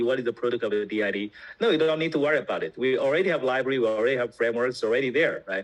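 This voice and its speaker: This man speaks with a Chinese accent. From China. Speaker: tech company founder. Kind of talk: interview explanation. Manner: hesitant, many fillers.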